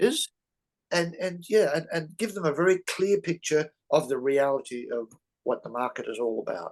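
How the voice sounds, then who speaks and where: Moderate pace and high pitch from a male speaker. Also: lively intonation. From Australia. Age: 70s. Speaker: real estate investor. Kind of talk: interview. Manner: halting, many fillers. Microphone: mic problem mentioned.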